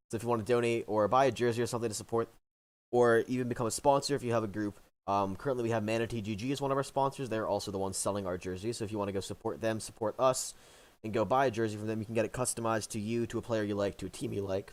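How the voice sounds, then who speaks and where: A man talks at a very fast pace in a medium pitch. His intonation stays fairly even. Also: very clean recording, silent background. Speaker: esports caster. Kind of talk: live commentary.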